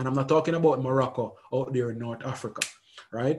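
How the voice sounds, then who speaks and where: Against a quiet background, a man speaks at a medium pitch, somewhat breathy, with fairly even intonation. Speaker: educator. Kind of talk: lecture. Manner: halting, with frequent repetitions; fast.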